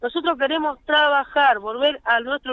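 Pitch varies in an ordinary way. The woman speaking keeps a fairly slow pace. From Argentina. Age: 40s. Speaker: car-minder and street worker. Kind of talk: phone interview testimony. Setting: phone call.

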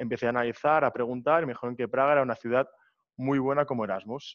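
A man talks at a very fast pace. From Barcelona, Spain. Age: 20s. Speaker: student, entrepreneur and DJ. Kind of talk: interview.

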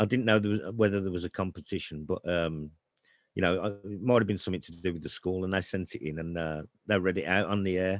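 A very deep, low-pitched man with a Brummie accent, at a very fast pace. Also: fairly even intonation. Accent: Brummie (Birmingham). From Birmingham, England. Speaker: author. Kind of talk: casual chat.

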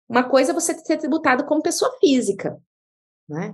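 A woman is speaking. Her pace is moderate. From Brazil, interior of Mato Grosso (Diamantino). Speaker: tax law professor and lawyer. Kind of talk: interview, expert explanation.

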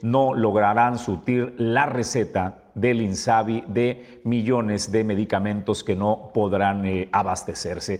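Someone speaks at a fairly slow pace in an unremarkable speaking voice with ordinary pitch variation. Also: man. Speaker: news show host. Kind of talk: news commentary. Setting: studio.

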